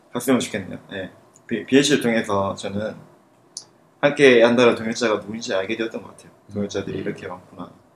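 Very rapid speech from a man, his pitch medium and his intonation fairly even. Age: 20s. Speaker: university student. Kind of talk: casual chat. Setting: studio.

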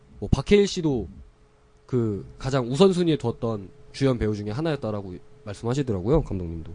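A man talks at a fairly quick pace with a dark, mellow tone. His pitch sits in the medium range but swings very widely. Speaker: podcast host. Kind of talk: casual chat.

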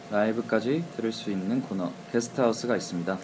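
Ordinary pitch variation from a man's voice, noticeable background noise behind it. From Suwon, South Korea. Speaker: guest radio DJ, duo singer. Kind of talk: casual radio chat.

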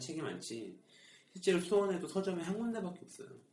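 A man talks at a fairly quick pace in a somewhat breathy voice. Room echo can be heard. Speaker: podcast host. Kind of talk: casual chat.

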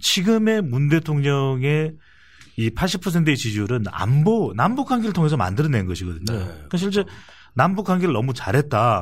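A somewhat breathy man's voice at a fairly high pitch and moderate pace, with very wide pitch swings, in a very clean recording with a silent background. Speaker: polling analyst. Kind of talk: political talk show discussion.

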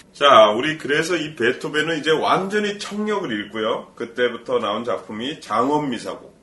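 A man's pitch swings very widely while noticeable background noise runs behind him. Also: fairly high pitch for a man, moderate pace. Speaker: voice professional, podcast host. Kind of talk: casual chat.

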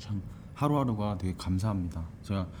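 Heard with audible room echo, a man speaks in a fairly low voice with a dark, mellow tone. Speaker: podcast host and stage actor. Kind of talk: interview. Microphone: single shared mic, recorded too quiet.

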